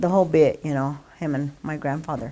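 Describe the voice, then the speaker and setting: A woman's very deep, low voice in a very clean recording with a silent background. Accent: American. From Colorado (Longmont). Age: 70s. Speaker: local resident. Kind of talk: oral history interview. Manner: casual, hesitant.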